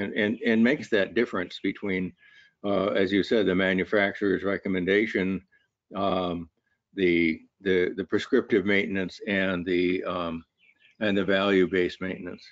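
At a moderate pace, a man with a very deep, low pitch talks in a monotone, flat intonation, the sound dry with no echo and the background quiet. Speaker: university lecturer and researcher; university lecturer. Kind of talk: webinar discussion. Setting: online webinar. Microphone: video call.

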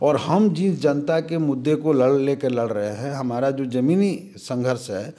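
This man's voice sits at a fairly high pitch with ordinary pitch variation. He talks at a fairly slow pace. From Bihar, India. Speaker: politician, state legislator; politician. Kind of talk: interview. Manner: animated. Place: office. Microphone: handheld.

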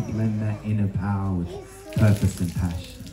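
Monotone, flat intonation at a moderate pace, with clear music in the background. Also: man. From Australia. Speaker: spoken word poet. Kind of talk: spoken word poetry performance. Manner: rhythmic, punchy; uplifting. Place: tent.

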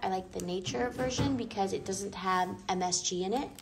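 A woman's fairly slow speech over noticeable background noise. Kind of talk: casual vlog chat. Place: home room. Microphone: phone near.

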